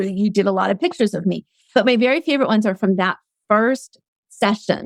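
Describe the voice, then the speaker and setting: Fairly high in pitch and with lively intonation, a woman talks at a fairly quick pace in an ordinary speaking voice, with a dry, close sound and no echo. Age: 60s. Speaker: podcast host. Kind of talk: casual chat.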